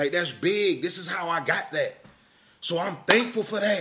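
Over noticeable background noise, a man with a high pitch projects a raised voice at a moderate pace in an animated tone. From US South, South Carolina. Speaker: podcast host. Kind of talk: personal storytelling monologue.

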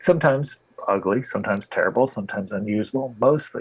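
A man's plain, everyday voice with an American accent, medium pitch, ordinary pitch variation and a fairly quick pace. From US Midwest. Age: 40s. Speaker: photographer. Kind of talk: casual interview conversation.

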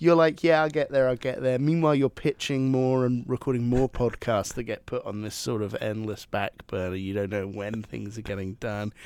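A man with a normal speaking voice talks at medium pitch and a moderate pace. He has ordinary pitch variation and hardly any pauses. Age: 20s. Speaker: podcast co-host. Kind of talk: casual chat.

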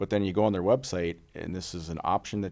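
On a very clean recording with a silent background, a man speaks with an Upper Midwest accent. His pitch is very deep and low, with ordinary variation at a moderate pace. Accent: Upper Midwest (Minnesota). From Minnesota, Little Falls. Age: 40s. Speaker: political candidate and wildlife biologist. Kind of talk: casual interview chat.

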